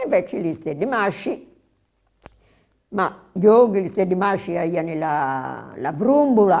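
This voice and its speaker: At a very slow pace and with long, frequent pauses, a woman of medium pitch speaks using lively intonation. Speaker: interviewee recalling childhood. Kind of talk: interview. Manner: halting, many fillers.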